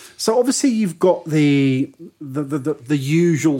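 In an English accent, a man talks at a fairly high pitch in a very clean recording with a silent background. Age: 30s. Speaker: football podcast co-host. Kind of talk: casual chat.

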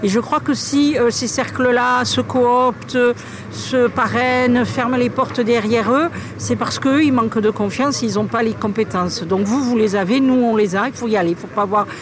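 A woman speaks at a moderate pace with a fairly high pitch, ordinary pitch variation and very even loudness, over noticeable background noise. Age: 50s. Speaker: local politician. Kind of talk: recorded interview.

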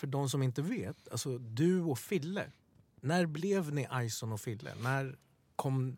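Somewhat breathy and fairly high in pitch, a man speaks at a fairly slow pace with lively intonation. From Sweden, Stockholm (Bredäng). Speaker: podcast co-host. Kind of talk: casual interview chat.

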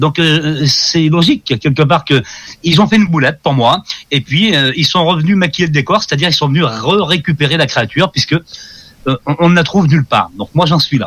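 Here a man talks in a normal speaking voice at a moderate pace. His pitch is fairly high, with ordinary variation. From France. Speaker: ufologist. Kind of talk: interview.

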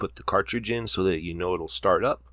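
This man's voice has a bright, sharp tone. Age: 30s. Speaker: gamer doing an audio-only let's play. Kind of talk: let's play commentary. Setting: home office. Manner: animated.

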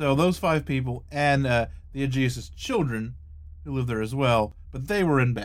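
Lively intonation from a man at a medium pitch, moderate pace, and an unremarkable speaking voice. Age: 30s. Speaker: paranormal podcast host. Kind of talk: casual chat; scripted narration. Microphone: close to the mic, louder than normal.

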